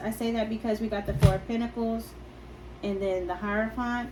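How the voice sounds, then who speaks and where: Through audible room echo, a woman speaks with a fairly high, somewhat breathy voice, dark and mellow in tone, with fairly even intonation. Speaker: tarot reader. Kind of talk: tarot reading. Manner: hesitant; soft-spoken.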